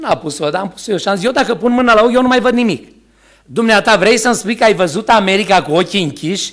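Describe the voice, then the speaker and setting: A man talks at a very fast pace with lively intonation and a high pitch. The background is quiet. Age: 60s. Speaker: preacher. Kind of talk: sermon. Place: church. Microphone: podium.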